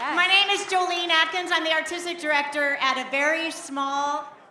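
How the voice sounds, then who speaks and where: In a raised, projected voice with an American accent, the speaker talks at a moderate pace with fairly even intonation against noticeable background noise. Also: woman. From Beaver County, Pennsylvania. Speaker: artistic director of a small arts center, pitching a film festival. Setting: live pitch event, speaking to an audience.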